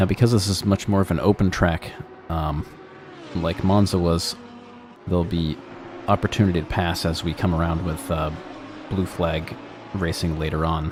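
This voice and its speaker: With music in the background, a man with a very deep, low voice speaks at a moderate pace, his intonation fairly even and broken by long, frequent pauses. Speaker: sim racing commentator and broadcast producer. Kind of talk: live race commentary.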